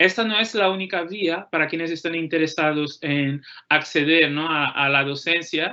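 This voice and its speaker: A moderate pace in a Portuguese accent. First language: Portuguese (speaking Spanish). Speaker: law graduate and postdoctoral researcher. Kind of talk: career talk to students.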